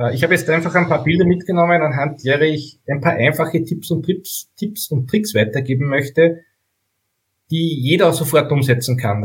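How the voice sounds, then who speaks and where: This man has a normal speaking voice, a fairly high pitch, ordinary pitch variation and a moderate pace. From Upper Austria (Steyr). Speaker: bike photographer. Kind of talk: casual interview.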